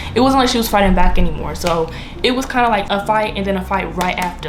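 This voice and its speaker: Amid noticeable background noise and audible room echo, a woman speaks at a very fast pace with lively intonation. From DMV area (Washington DC region), US. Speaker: YouTuber. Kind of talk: storytime monologue. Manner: casual, filler-heavy.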